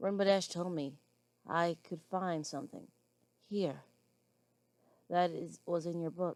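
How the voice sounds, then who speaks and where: A woman's put-on character voice, raspy and fairly low, at a fairly slow pace with long, frequent pauses. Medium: read story.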